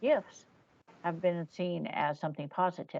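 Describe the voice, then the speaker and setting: At a fairly slow pace, a woman with a fairly low pitch talks in an ordinary speaking voice. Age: 60s. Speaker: psychic medium and author. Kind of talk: interview conversation.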